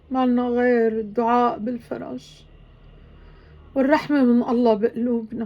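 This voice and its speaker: With a Syrian accent, a woman speaks at a fairly slow pace in a high pitch and a monotone, flat intonation. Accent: Levantine Arabic (Syrian). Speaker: vlogger. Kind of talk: emotional video monologue. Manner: emotional; halting.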